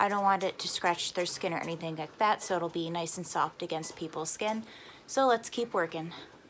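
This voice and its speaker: Her speech moves at a moderate pace, and her pitch varies in an ordinary way. This woman has a plain, everyday voice. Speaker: crafter and small business owner vlogger. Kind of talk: casual vlog narration. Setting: at home, basement craft room.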